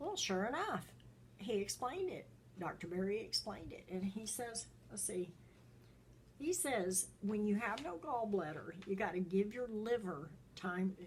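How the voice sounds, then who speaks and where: A somewhat breathy woman's voice, medium in pitch with ordinary pitch variation, at a fairly slow pace. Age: 70s. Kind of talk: casual talk to camera.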